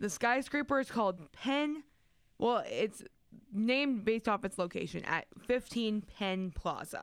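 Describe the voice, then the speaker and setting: A normal speaking voice: a woman's fairly high pitch, lively intonation, very even loudness and a fairly slow pace, on a very clean recording with a silent background. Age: 20s. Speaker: radio co-host. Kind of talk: casual chat.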